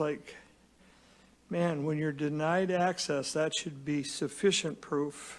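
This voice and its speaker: In an ordinary speaking voice, a man talks at a fairly slow pace with fairly even intonation and a fairly high pitch, captured on a very clean recording with a silent background. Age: 60s. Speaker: public testimony witness. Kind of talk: testimony.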